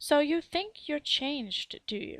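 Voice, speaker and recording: A woman puts on a character voice at a high pitch. She speaks fairly slowly, her pitch swinging very widely. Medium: read story. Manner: curt, stern.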